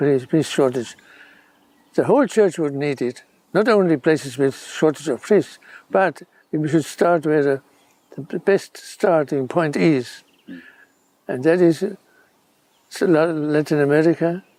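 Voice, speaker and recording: In a dark, mellow tone, the speaker goes fairly slowly with ordinary pitch variation and long, frequent pauses. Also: man. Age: 90s. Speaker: retired bishop. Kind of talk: interview. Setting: outdoors in a garden. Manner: halting.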